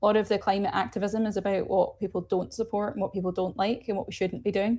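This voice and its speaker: In a very clean recording with a silent background, a woman with a Glasgow accent speaks very fast at a medium pitch, her tone dark and mellow. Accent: Scottish (Glaswegian). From Scotland, Glasgow. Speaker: nuclear energy advocate. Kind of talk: interview. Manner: animated.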